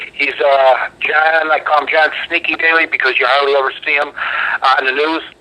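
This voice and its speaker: This man has an American accent and a fairly high pitch. He talks at a moderate pace in a flat monotone, with noticeable background noise. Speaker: local politician. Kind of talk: political talk radio interview.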